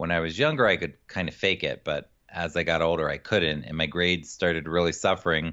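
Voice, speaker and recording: Speaking fairly quickly with hardly any pauses, a man with an American accent keeps a very deep, low pitch and fairly even intonation. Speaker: executive function coach. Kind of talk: interview.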